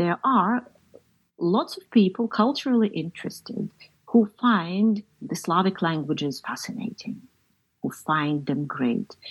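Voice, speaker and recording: A woman talks at a fairly slow pace and a medium pitch, somewhat breathy. Her voice moves in very wide pitch swings. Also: big swings in loudness. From Ukraine. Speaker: novelist and poet. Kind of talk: interview.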